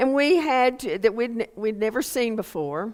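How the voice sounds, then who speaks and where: A woman with a Texas accent speaks very slowly at a high pitch, her intonation lively. The recording is very clean, with a silent background. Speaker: preacher. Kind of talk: scripture reading; sermon.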